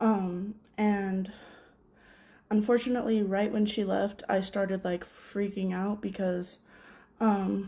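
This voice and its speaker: A woman's medium-pitched, dark, mellow, somewhat breathy voice, monotone and flat, very slow with long, frequent pauses. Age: 20s. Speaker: vlogger. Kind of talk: casual chat. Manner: halting.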